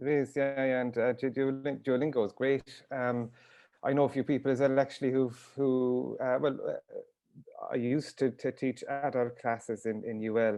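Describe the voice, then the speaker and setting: Speaking in a Waterford accent, a man holds a medium pitch and a moderate pace in a flat monotone. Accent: Irish, Waterford. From Ireland, Ring Gaeltacht, County Waterford. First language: Irish. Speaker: author and teacher. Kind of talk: casual interview. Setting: video call. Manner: hesitant, many fillers.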